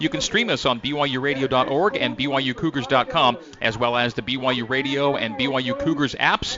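A man's medium-pitched voice with ordinary pitch variation and hardly any pauses over noticeable background noise. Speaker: play-by-play sports announcer. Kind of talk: radio play-by-play sports broadcast. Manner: polished, upbeat and energetic, with quick stats.

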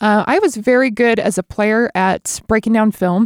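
With a dry, close sound and no echo, a woman speaks in a normal speaking voice at a fairly high pitch. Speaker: basketball analyst and former college player. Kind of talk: casual interview chat.

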